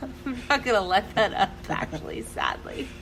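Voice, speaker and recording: A woman speaks loudly over noticeable background noise. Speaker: podcast co-host. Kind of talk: casual chat. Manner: animated.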